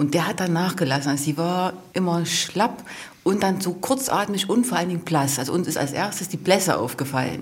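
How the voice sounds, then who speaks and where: Somewhat breathy, a woman's fairly low voice moves with lively intonation. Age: 40s. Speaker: mother of a patient. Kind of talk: interview testimony.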